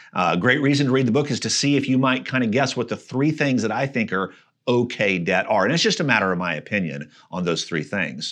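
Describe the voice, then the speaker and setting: Over a quiet background, a man talks fairly quickly with lively intonation and some vocal fry. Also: medium pitch for a man. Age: 50s. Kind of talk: casual interview.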